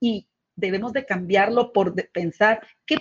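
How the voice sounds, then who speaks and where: An ordinary speaking voice from a woman, medium in pitch, at a fairly slow pace. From Guatemala. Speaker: leadership coach and co-host. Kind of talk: live webcast talk.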